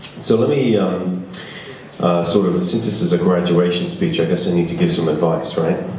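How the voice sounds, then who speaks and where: In an English accent, a man with a very deep, low pitch talks at a moderate pace with ordinary pitch variation and very even loudness, amid audible room echo and noticeable background noise. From England, London. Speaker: business speaker. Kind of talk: graduation speech. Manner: hesitant, many fillers.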